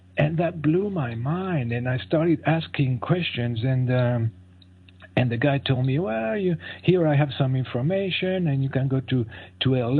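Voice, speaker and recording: A medium-pitched man with a French accent, moderate pace and ordinary pitch variation. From France. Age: 60s. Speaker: fasting advocate and author. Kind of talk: interview. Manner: halting.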